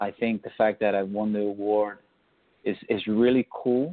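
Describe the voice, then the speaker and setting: A man with an American accent talks at a fairly low pitch. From New York City, the Bronx. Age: 40s. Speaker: leadership and change consultant. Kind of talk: interview. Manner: halting, repeats words.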